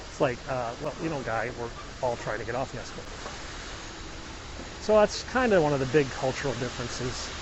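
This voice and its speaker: A man with a Midwestern American accent at a fairly quick pace, long frequent pauses, ordinary pitch variation, noticeable background noise and audible room echo. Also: medium pitch for a man. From US Midwest, Illinois. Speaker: live-stream vlogger. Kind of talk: casual live-stream chat while hiking. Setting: outdoors on a hike. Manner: conversational.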